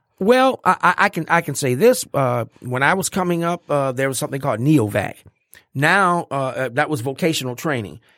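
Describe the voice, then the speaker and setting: With a normal speaking voice, a man of fairly high pitch speaks at a fairly quick pace with hardly any pauses, lively intonation and big swings in loudness, on a very clean recording with a silent background and a dry, close sound with no echo. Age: 60s. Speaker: educator. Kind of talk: casual chat. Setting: studio.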